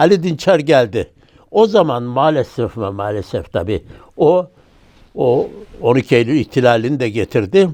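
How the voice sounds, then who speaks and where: Dark, mellow tone from a man at medium pitch, with very wide pitch swings and a fairly slow pace. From Turkey, Ankara. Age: 80s+. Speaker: former member of parliament. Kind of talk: oral history interview. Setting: studio.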